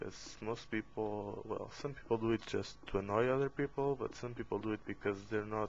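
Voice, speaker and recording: A man's fairly low voice with a non-native accent. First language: not English. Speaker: game tutorial maker. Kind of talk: tutorial. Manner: halting, with fillers.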